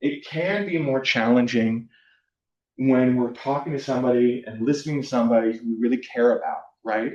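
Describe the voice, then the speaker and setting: The pace is fairly quick, in a Californian accent. Pitch varies in an ordinary way. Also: man, medium pitch for a man. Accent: Californian American English. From US West Coast (Southern California). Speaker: university counselor / workshop presenter. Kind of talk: workshop presentation. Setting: room with live and online audience. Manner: casual, frequent fillers (um, like).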